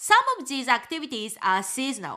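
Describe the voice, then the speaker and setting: Her pitch swings very widely. The woman's tone is bright and sharp. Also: very clean recording, silent background. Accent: Japanese. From Japan. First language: Japanese. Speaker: travel guide and podcast host. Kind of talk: scripted podcast monologue.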